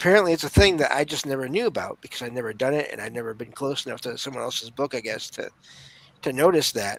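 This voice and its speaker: A man with a Michigan accent at a very fast pace, fairly high in pitch, with lively intonation and big swings in loudness. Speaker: podcaster, paranormal experiencer. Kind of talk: interview storytelling. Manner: halting, repeats words.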